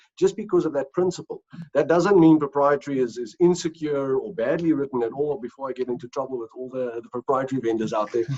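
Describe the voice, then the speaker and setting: Speaking at a fairly quick pace with a South African accent, a man uses lively intonation and a fairly high pitch. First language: Afrikaans. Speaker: company executive. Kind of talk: interview. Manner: hesitant, many fillers and repeats.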